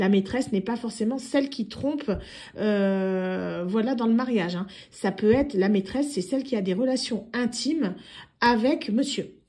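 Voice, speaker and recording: A woman speaks at a moderate pace in a fairly high pitch with ordinary pitch variation. Her tone is dark, mellow and somewhat breathy. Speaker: tarot card reader. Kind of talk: tarot reading monologue. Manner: hesitant, many fillers.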